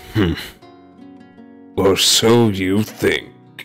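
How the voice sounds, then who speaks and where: A man performs a cartoonish character voice. Clear music plays in the background. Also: fairly low pitch for a man. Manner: sly, scheming.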